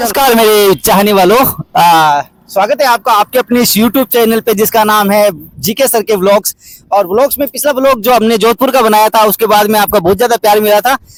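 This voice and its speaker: With music in the background, a man speaks at a moderate pace in a high voice, with ordinary pitch variation, very even loudness, and a dry, close sound with no echo. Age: 30s. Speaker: travel vlogger. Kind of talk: vlog presenting. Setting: outdoors at a fair.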